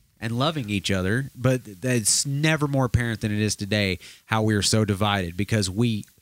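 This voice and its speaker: A normal speaking voice from a man, fairly low in pitch, fairly quick in pace, with ordinary pitch variation and a dry, close sound with no echo. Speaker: radio host. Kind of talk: casual interview chat.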